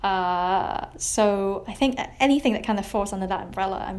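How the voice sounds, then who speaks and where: Room echo can be heard around this voice. A woman speaks at a moderate speed. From Hong Kong. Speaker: journalist. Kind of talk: interview. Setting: remote call.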